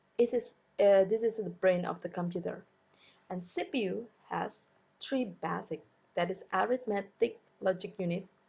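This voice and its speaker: A woman's medium-pitched voice, dark and mellow with vocal fry, ordinary pitch variation, a moderate pace and long, frequent pauses. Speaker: schoolteacher. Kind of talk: recorded online lesson.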